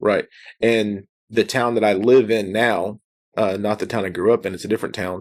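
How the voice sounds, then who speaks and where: With a quiet background, a man speaks at a moderate pace in a fairly low, monotone, flat voice. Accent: Texan. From Texas, near Austin. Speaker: podcast host. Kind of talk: casual chat.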